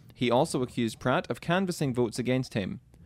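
Speaking fairly quickly in a Scottish accent, a man with a medium pitch and ordinary pitch variation is heard on a very clean recording with a silent background. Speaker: radio co-host. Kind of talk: casual radio chat.

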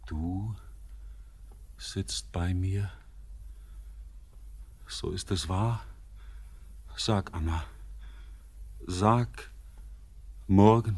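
A man's put-on character voice, low-pitched and slightly mellow, very slow with long, frequent pauses and ordinary pitch variation

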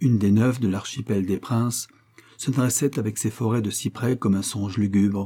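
Someone reads aloud here, using a natural voice.

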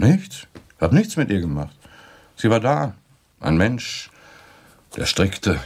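A man puts on a character voice at a slow pace. His fairly low pitch has a slightly husky edge and very wide pitch swings.

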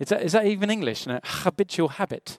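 In a very clean recording with a silent background and a dry, close sound with no echo, a man with a British accent speaks with ordinary pitch variation. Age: 40s. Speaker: pastor. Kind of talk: sermon.

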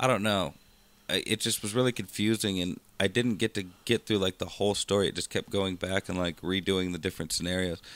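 On a very clean recording with a silent background and a dry, close sound with no echo, a man with an unremarkable speaking voice talks fairly quickly at a fairly low pitch, with fairly even intonation. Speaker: podcast co-host. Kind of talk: casual banter, comedic chat. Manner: laid-back, jokey.

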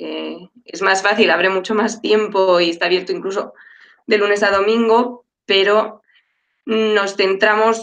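Here a woman has an unremarkable speaking voice of medium pitch. She keeps a moderate pace and fairly even intonation. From Madrid, Spain. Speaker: dietitian-nutritionist. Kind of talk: panel discussion.

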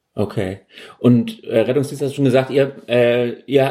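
His voice is medium in pitch with a dark, mellow tone. The man talks at a fairly slow pace in a monotone, flat intonation. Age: 30s. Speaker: podcast host. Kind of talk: interview.

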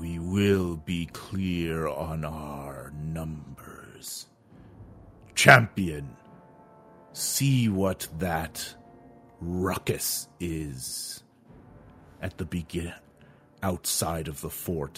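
Using a put-on character voice, a man speaks with very deep, low pitch at a very slow pace, leaving long, frequent pauses. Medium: actual play. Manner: commanding, curt.

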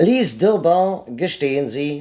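A man puts on a character voice with a slightly mellow tone. He talks slowly, with big pitch swings.

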